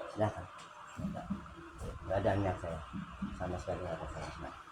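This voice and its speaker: There is audible room echo around a man's voice. Noticeable noise also fills the background. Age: 70s. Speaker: accused elderly resident. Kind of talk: mediation testimony. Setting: neighborhood head's home.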